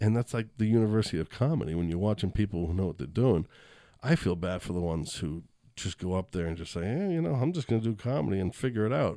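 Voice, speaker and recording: A man with an American accent, fairly low in pitch with a dark, mellow tone, at a very fast pace with lively intonation, in a very clean recording over a silent background. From Boston. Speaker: comedian. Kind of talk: casual chat.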